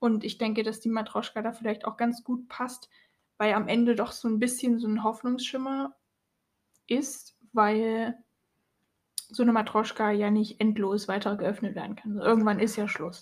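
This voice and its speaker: Somewhat breathy and fairly even in intonation, the speech moves at a moderate pace, broken by long, frequent pauses. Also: woman, fairly high pitch for a woman. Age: 20s. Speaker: podcast co-host. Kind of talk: casual chat.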